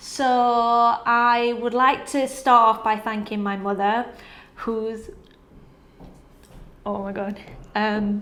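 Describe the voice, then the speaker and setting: Speaking at a very slow pace with long, frequent pauses, a woman keeps a fairly high pitch and fairly even intonation. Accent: northern English. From northern England, Sheffield. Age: 20s. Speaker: PR and communications professional. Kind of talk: award nominee video testimony.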